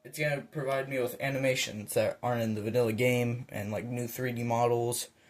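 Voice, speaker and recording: Speaking at a moderate pace and medium pitch, a man sounds somewhat breathy, with monotone, flat intonation. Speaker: gaming tutorial creator. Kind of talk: tutorial. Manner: halting, stuttering.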